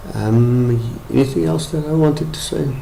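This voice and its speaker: A man with a South African accent speaks at a fairly slow pace with ordinary pitch variation, over noticeable background noise and audible room echo. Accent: Afrikaans-accented English. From South Africa, Afrikaans town in the Free State. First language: Afrikaans. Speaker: medical professional, brain injury survivor. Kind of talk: testimony. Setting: webcam presentation. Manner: halting.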